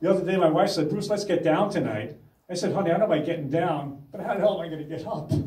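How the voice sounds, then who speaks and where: A man's high-pitched voice at a very fast pace, with ordinary pitch variation, audible room echo and noticeable background noise. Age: 60s. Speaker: stand-up comedian. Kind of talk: stand-up.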